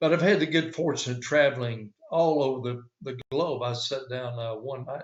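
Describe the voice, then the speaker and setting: Somewhat breathy, a man with an American accent speaks at a moderate pace. His pitch is medium and his intonation fairly even. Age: 70s. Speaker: author. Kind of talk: interview.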